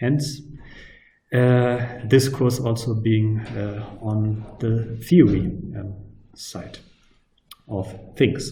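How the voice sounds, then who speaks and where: A man with a non-native accent speaks at a very slow pace with long, frequent pauses, fairly even intonation, and a dark, mellow, somewhat breathy tone, amid audible room echo. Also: medium pitch for a man, big swings in loudness. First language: not English. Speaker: university lecturer. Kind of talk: lecture. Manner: hesitant, many fillers.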